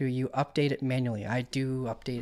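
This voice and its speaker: A man speaks in a plain, everyday voice at a medium pitch. His pace is fairly quick. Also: very clean recording, silent background. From Canada. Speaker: crypto trading streamer. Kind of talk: live stream market analysis. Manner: casual, conversational.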